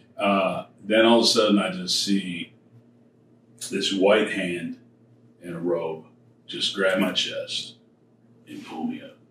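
A man with an American accent talks at a very slow pace, with long, frequent pauses. His loudness swings widely, and there is noticeable background noise. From Michigan, Detroit area. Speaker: church bassist. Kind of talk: casual chat; testimony.

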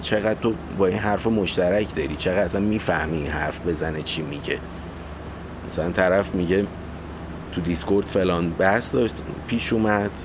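Over noticeable background noise, a man talks at a fairly quick pace in a very deep, low voice with fairly even intonation. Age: 30s. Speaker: podcast host. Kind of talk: solo monologue.

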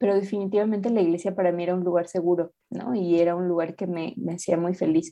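A woman speaks at a fairly quick pace, her pitch medium. Her tone is dark and mellow, with fairly even intonation. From Mexico City. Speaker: activist. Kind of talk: interview.

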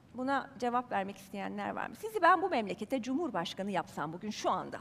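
In an animated tone, a woman makes very wide pitch swings. Her pace is moderate. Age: 50s. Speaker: journalist. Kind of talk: talk to a live audience. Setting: stage with audience.

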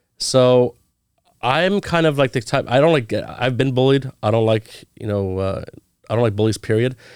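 In an American accent, a man with an ordinary speaking voice and medium pitch talks at a moderate pace on a very clean recording with a silent background. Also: ordinary pitch variation. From US West Coast (Orange County, California). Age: 30s. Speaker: real estate agent, Navy veteran. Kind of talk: casual interview.

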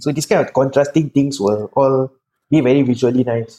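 The voice has a Singaporean accent and a dark, mellow tone. Its pitch varies in an ordinary way. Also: man. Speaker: bodybuilder and pro wrestler. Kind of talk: podcast interview. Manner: soft-spoken.

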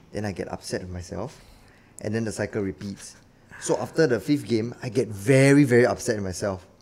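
A man speaks with a Singaporean accent. His fairly low voice moves at a fairly quick pace. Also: ordinary pitch variation. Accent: Singaporean English (Singlish). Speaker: actor. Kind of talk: casual chat.

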